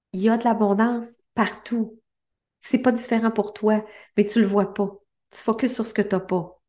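The voice carries a Quebec accent. Its tone is dark and mellow. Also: woman. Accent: Québécois French. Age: 50s. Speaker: life coach and podcast host. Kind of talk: motivational monologue.

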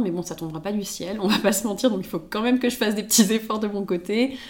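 Woman's medium-pitched voice with ordinary pitch variation. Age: 20s. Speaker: podcast guest sharing her love life. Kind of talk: casual chat. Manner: halting, many repeated words.

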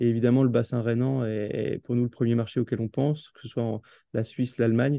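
At a fairly quick pace, a man speaks in a flat monotone at a medium pitch, his dark, mellow tone captured dry and close with no echo. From Alsace, France. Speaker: football club marketing director. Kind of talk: interview. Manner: halting, with many repetitions and fillers.

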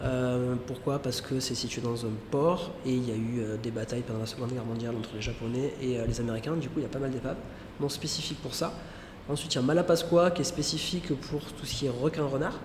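Amid noticeable background noise and audible room echo, a man with a medium pitch speaks at a fairly quick pace with ordinary pitch variation. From southern France (Marseille area). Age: 40s. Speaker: dive centre manager and instructor. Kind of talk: interview conversation. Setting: dive centre on an island.

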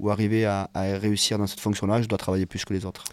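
A man talks very fast in a fairly low, dark, mellow voice with monotone, flat intonation. The recording is very clean, with a silent background. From southern France, Hérault (Occitanie). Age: 30s. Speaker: former rugby referee, now rugby coach. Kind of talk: casual interview.

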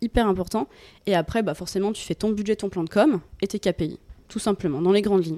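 Her voice has a dark, mellow tone, ordinary pitch variation and a fairly quick pace, captured in a very clean recording with a silent background. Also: medium pitch for a woman, dry, close sound with no echo. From eastern France, Franche-Comté. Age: 30s. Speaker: recruitment and HR marketing manager. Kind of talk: casual interview. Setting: hotel breakfast room.

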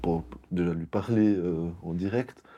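A man's very deep, low voice with a dark, mellow tone, a very slow pace and fairly even intonation, over a quiet background. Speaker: IT company co-founder. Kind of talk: interview.

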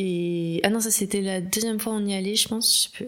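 The speaker is a woman. Noticeable background noise runs under her voice. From Paris. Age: 20s. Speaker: communications professional. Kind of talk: casual chat.

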